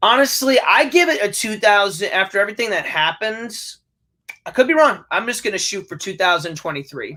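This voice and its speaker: A man uses a raised, projected voice with a bright, sharp tone, high pitch, and very wide pitch swings at a fairly quick pace. The recording is very clean, with a silent background. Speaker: co-host of movie discussion. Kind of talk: casual chat. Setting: live stream. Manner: loud.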